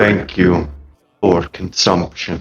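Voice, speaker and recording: The speaker uses a put-on character voice. The delivery is soft-spoken. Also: man. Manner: gentle.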